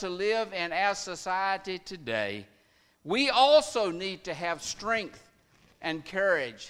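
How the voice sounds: Ordinary pitch variation shapes a natural reading voice here.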